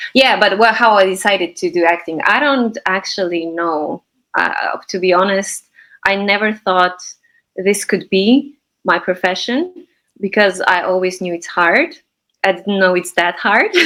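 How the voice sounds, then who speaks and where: A woman speaks at a fairly slow pace. Her pitch is medium and her tone is bright and sharp. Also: ordinary pitch variation. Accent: Slovenian. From Slovenia. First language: Slovenian. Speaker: actress and acting teacher. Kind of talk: interview. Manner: hesitant, many fillers.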